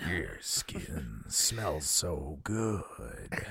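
A man puts on a raspy character voice, very deep and low, with very wide pitch swings. Background noise is clearly audible. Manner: creepy, unnatural, doesn't sound like a real person.

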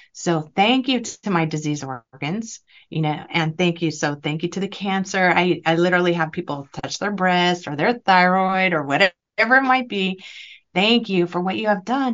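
A woman with an unremarkable speaking voice, fairly low in pitch, at a moderate pace with lively intonation. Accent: American. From California. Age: 50s. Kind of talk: interview.

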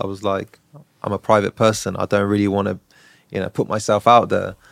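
With a southern English accent, a man speaks in a fairly low pitch, the sound dry and close with no echo. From southern England, Brighton. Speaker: real estate broker. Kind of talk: interview.

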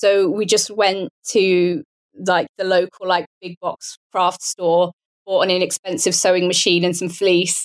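Speaking with a southern England accent, a woman talks fairly slowly at medium pitch with fairly even intonation, in a dry, close sound with no echo. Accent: British English, southern England. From Portsmouth, south coast of England. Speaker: app founder and sewist. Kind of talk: casual interview conversation.

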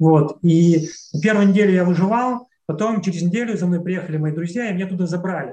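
A man's high-pitched voice at a fairly quick pace. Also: ordinary pitch variation. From Russian Far East, near Khabarovsk. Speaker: traveler and author. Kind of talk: casual interview conversation.

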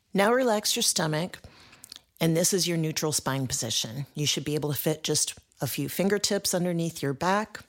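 This woman has a plain, everyday voice with a fairly low pitch. Her intonation is lively and her pace moderate. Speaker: fitness instructor. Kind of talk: guided exercise class. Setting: studio. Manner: encouraging, upbeat, brisk; rhythmic countdown cues.

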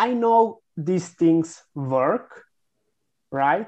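Against a quiet background, a man with a Serbian accent speaks at a fairly high pitch. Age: 20s. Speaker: content marketing agency founder. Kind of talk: interview.

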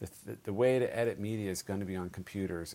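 A man with a very deep, low voice in a Californian accent, fairly even intonation and a fairly quick pace. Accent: General American (Californian). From US West Coast, San Francisco Bay Area. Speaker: documentary filmmaker and film editor. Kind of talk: interview. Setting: office.

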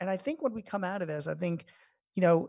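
A man's normal speaking voice at a fairly quick pace, fairly even intonation, dry, close sound with no echo. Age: 50s. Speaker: small business expert and columnist. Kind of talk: interview. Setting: remote call from home.

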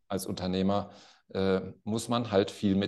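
A man speaks at a moderate pace with a fairly low pitch and a dark, mellow tone. The background is quiet. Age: 50s. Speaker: company CEO. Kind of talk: interview conversation.

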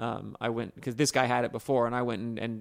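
A man with a normal speaking voice at medium pitch and a fairly quick pace, on a very clean recording with a silent background. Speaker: retired racer, interviewee. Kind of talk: casual interview. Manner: joking, brash.

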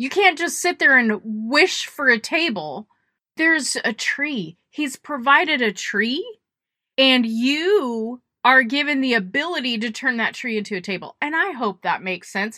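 A woman's raised, projected voice, high-pitched with a bright, sharp and animated tone, very wide pitch swings and a fairly slow pace. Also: very clean recording, silent background. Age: 40s. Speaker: podcast host. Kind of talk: motivational monologue.

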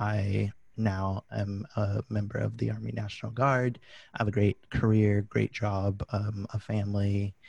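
This man's voice is fairly low, with a dark, mellow tone and a somewhat breathy quality. He talks at a fairly slow pace in a monotone, flat intonation. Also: quiet background. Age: 20s. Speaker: animal control officer and podcaster. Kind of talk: interview conversation. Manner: hesitant, many fillers.

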